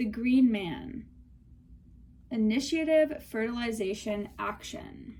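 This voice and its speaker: Very slowly and with long, frequent pauses, a woman speaks at a fairly high pitch with ordinary pitch variation, in audible room echo. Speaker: tarot reader. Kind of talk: tarot reading. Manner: casual, filler-heavy.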